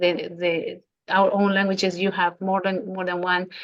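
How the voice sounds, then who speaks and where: A woman speaks with a non-native accent at a moderate pace. Her pitch sits in the medium range. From Latin America. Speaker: podcast host. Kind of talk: interview.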